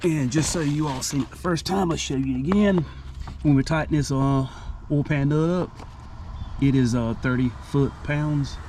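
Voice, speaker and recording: Amid noticeable background noise and audible room echo, a man with fairly high pitch and ordinary pitch variation talks at a moderate pace with long, frequent pauses. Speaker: DIY car mechanic YouTuber. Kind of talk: tutorial. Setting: under a car in a garage. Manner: casual, halting with fillers.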